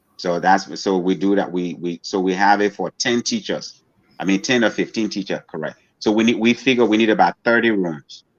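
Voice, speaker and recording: A man with an unremarkable speaking voice talks fairly quickly at a fairly low pitch, with ordinary pitch variation. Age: 60s. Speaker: social entrepreneur and school founder. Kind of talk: interview. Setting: podcast interview.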